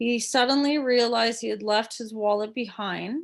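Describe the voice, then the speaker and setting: In a very clean recording with a silent background, a woman speaks at a fairly slow pace with ordinary pitch variation. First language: French. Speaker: teacher. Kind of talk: tutorial. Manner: hesitant, many fillers.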